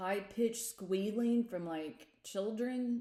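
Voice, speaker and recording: A woman is speaking. Her tone is dark and mellow. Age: 40s. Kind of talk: casual chat. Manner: loud.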